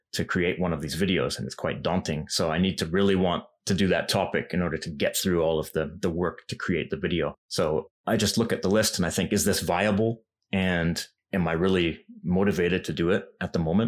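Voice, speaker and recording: In a western Canadian accent, a man talks at a fairly quick pace with a very deep, low pitch and fairly even intonation. The recording is very clean, with a silent background. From western Canada. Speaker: language YouTuber. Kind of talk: interview.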